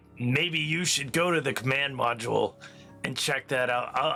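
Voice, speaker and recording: With clear music in the background, a man puts on a raspy character voice at a medium pitch with fairly even intonation. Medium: actual play. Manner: calm, matter-of-fact.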